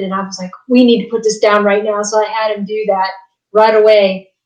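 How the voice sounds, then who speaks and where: A woman speaks with an American accent at a fairly high pitch. Her pace is fairly quick. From West Virginia. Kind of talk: casual interview chat. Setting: video call.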